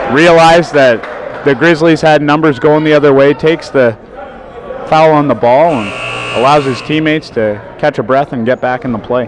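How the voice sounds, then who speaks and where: A man's fairly high voice at a moderate pace, dry with no echo, over noticeable background noise. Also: ordinary pitch variation. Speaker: play-by-play commentator. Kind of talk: sports commentary. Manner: animated, rising excitement on big plays. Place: stadium.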